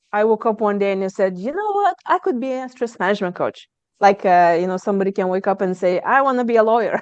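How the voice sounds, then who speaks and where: Fairly quick, lively speech from a woman with a slight Lithuanian accent. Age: 30s. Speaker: stress management coach. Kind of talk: podcast interview.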